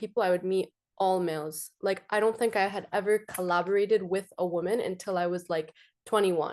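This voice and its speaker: A woman has an unremarkable speaking voice with fairly even intonation. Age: 20s. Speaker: entrepreneur. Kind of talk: panel discussion.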